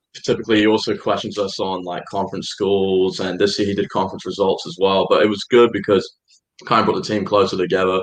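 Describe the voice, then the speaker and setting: Speech races by at a very fast pace with fairly even intonation. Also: man, fairly low pitch for a man. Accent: English. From England. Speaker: college soccer player. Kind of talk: radio interview. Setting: live studio show.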